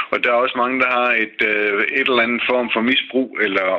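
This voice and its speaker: A man speaks at a moderate pace with a medium pitch and flat, monotone intonation. Noticeable background noise runs underneath. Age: 60s. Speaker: retired mechanic, listener panel member. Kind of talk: radio panel discussion.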